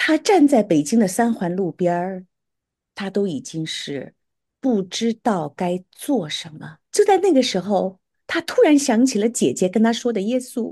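A woman speaks at a fairly high pitch in a somewhat breathy, dark, mellow tone. Her pace is fairly slow, and her pitch swings very wide. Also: quiet background. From Beijing, China. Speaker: erhu musician. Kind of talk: interview testimony.

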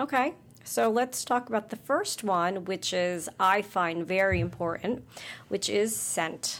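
Over a very clean, silent background, an ordinary speaking voice moves at a fairly slow pace with lively intonation. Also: woman, medium pitch for a woman, very even loudness. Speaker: podcast co-host. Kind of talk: casual chat.

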